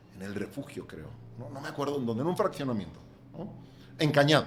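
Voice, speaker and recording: The man's pitch is fairly high. It moves in very wide swings. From Catalonia, Spain. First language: Catalan (speaking Spanish). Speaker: real estate developer. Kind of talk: podcast interview.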